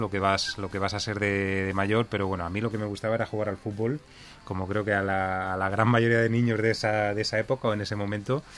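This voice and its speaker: A man talks at a fairly quick pace, his pitch fairly low. Music plays in the background. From Spain, Elche (Alicante). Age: 40s. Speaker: hair salon chain founder. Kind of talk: radio interview. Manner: halting, frequent repetitions.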